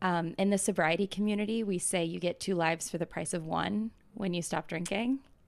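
A woman's normal speaking voice with an American accent, fairly quick with hardly any pauses, very even loudness and ordinary pitch variation. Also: fairly low pitch for a woman. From US South, Atlanta, Georgia. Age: 20s. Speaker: startup founder. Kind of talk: casual interview.

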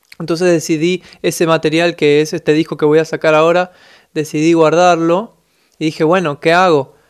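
A man talks at a moderate pace with flat, monotone intonation. His loudness stays very even. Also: fairly high pitch for a man. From Buenos Aires, Argentina. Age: 20s. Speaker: musician. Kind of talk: interview.

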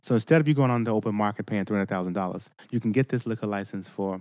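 Talking at a very fast pace, a man with an American accent keeps a fairly low pitch with ordinary variation. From Boston, Mattapan. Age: 50s. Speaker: state representative. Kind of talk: casual chat. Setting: studio.

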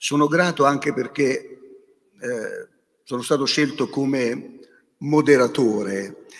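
Over a very clean recording with a silent background, a man with a fairly high pitch speaks very slowly, with long, frequent pauses. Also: ordinary pitch variation. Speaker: bishop and moderator. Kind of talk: moderated debate. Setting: stage with audience.

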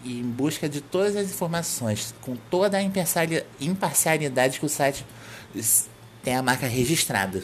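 The man has an unremarkable speaking voice. He talks at a fairly slow pace. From Brazil, Rio de Janeiro. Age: 20s. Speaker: podcast host and website editor. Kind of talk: solo podcast monologue.

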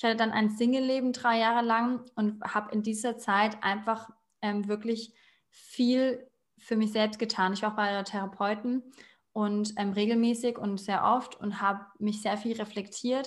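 Her voice is somewhat breathy, and she speaks at a moderate pace. This woman's intonation is monotone and flat. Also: fairly high pitch for a woman. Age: 30s. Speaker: educator and aspiring animal psychologist. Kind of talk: casual interview.

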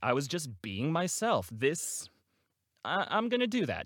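At a moderate pace, the speech swings very widely in pitch over a very clean recording with a silent background. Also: man. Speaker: voice actor. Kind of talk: solo podcast monologue. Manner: animated; rambling, casual with laughs.

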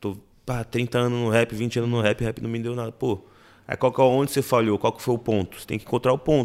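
A man speaks at a very fast pace and medium pitch in monotone, flat intonation. His loudness swings widely, and the recording is very clean with a silent background. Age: 20s. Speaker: actor and music producer. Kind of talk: casual interview chat. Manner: halting, repeats words.

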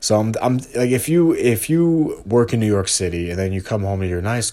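In a very clean recording with a silent background, a man with a dark, mellow tone speaks at a moderate pace. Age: 30s. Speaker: solo podcaster. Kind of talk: casual monologue. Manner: halting.

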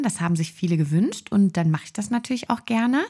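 In a very clean recording with a silent background, a woman talks at a very fast pace and a medium pitch. Her dark, mellow tone is somewhat breathy, with lively intonation. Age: 20s. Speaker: osteopathic practitioner and podcast host. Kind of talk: solo podcast monologue.

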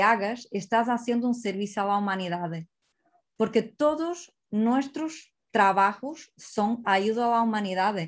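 Against a quiet background, a woman with a Portuguese accent speaks very slowly in a fairly high pitch. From Portugal. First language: Portuguese (speaking Spanish). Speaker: psychologist and life-purpose coach. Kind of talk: online seminar talk.

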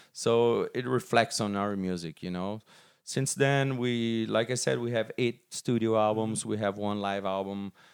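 A man with a Portuguese accent talks at a fairly slow pace, his fairly low pitch varying in an ordinary way. The recording is very clean, with a silent background. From Brazil. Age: 40s. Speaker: metal band musician. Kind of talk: casual interview.

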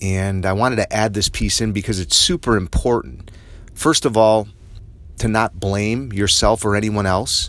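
In an unremarkable speaking voice, a man talks at a fairly low pitch and a moderate pace. His pitch variation is ordinary. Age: 50s. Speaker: podcast host. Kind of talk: personal monologue.

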